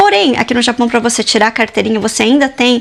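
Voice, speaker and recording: Noticeable noise sits behind the speech. The woman's intonation stays fairly even. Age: 30s. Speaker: mother and lifestyle vlogger. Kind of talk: casual talk to camera.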